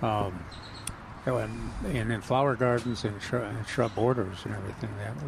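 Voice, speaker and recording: Against noticeable background noise, a man talks at a moderate pace with a fairly low pitch and fairly even intonation. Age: old. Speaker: horticulture expert, radio co-host. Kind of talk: call-in radio show. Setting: live radio broadcast from a nursery. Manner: halting.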